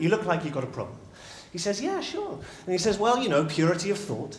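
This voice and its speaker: Amid noticeable background noise and audible room echo, a man speaks very fast with lively intonation. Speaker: public speaker, storytelling coach. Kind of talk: live talk telling a story. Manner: animated.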